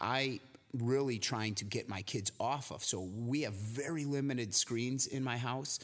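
Using a plain, everyday voice, a man speaks at medium pitch with an American accent. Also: very clean recording, silent background. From US Midwest, near Chicago. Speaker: podcast co-host, gym owner and fitness trainer. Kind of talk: casual chat.

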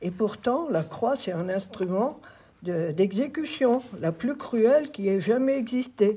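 Over noticeable background noise, a woman speaks at a very slow pace. Her fairly high pitch moves with lively intonation. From France, Sarthe. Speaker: former schoolteacher and farmer. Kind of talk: testimony. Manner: halting.

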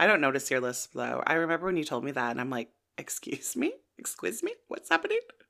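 A woman talks at a very fast pace with a Canadian accent. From Canada. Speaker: podcast host, TV recapper. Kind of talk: casual chat, recap podcast. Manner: chatty, laughs often.

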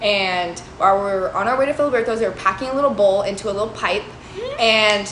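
Ordinary pitch variation comes through alongside noticeable background noise and audible room echo. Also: woman. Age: 20s. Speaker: podcast co-host. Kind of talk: casual chat.

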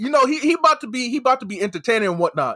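In a raised, projected voice, a man with an American accent is heard in a dry, close sound with no echo on a very clean recording with a silent background. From United States, Nigerian heritage. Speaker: wrestling podcaster guest. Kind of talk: casual chat. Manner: animated.

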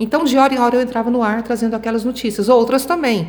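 The woman speaks at a high pitch. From Goiânia, Brazil. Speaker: radio and TV journalist. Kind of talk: interview.

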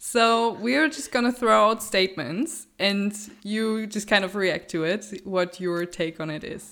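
A woman speaks slowly-ish, at a fairly slow pace, with a German accent and a bright, sharp tone. The recording is very clean with a silent background. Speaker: podcast host. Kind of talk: interview.

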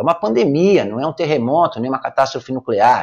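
Fairly high and marked by vocal fry, a man's voice moves at a fairly quick pace with very wide pitch swings. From Brazil, São Paulo city (Brás). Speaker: numerology consultant and podcaster. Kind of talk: opinion commentary monologue.

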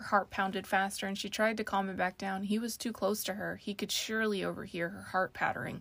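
The reading aloud is plain. Its intonation is fairly even.

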